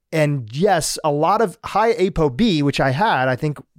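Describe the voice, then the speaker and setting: A plain, everyday voice from a man, fairly high in pitch with ordinary pitch variation, in a dry, close sound with no echo and a very clean recording, silent background. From US, Gujarati family from Kenya. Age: 40s. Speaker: podcast host. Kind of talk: interview.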